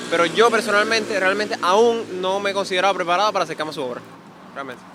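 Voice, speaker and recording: A man's raised, projected voice, high in pitch with ordinary pitch variation, at a very fast pace over noticeable background noise. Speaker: person interviewed on the street. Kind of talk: street interview. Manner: hesitant.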